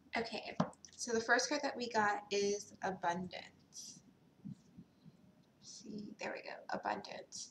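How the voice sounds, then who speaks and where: At a very slow pace, a woman speaks with long, frequent pauses. Her pitch is fairly high, with ordinary variation. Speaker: tarot reader. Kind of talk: tarot reading. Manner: casual, many ums.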